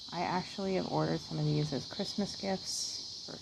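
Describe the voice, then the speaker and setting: A soft-spoken woman with an American accent, relaxed in tone, against noticeable background noise. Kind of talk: ASMR catalog page-through, soft-spoken casual talk to camera. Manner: soft-spoken, slow, relaxed.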